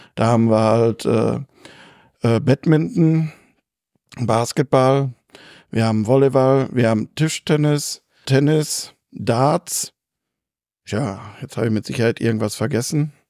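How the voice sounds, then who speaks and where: In a very clean recording with a silent background and a dry, close sound with no echo, a man with a dark, mellow tone speaks at a very slow pace with long, frequent pauses. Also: medium pitch for a man, ordinary pitch variation. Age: 50s. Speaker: sports club chairman. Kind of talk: interview.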